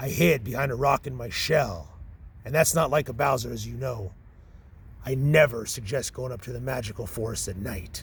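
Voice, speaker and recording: A man performs a put-on character voice at a medium pitch and a moderate pace. Background noise is clearly audible. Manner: boastful, gruff.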